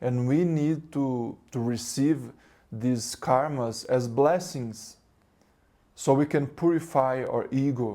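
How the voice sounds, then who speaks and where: A man's dark, mellow voice with a Portuguese accent, very slow pace and fairly even intonation. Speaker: spiritual teacher. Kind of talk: spiritual talk. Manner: halting.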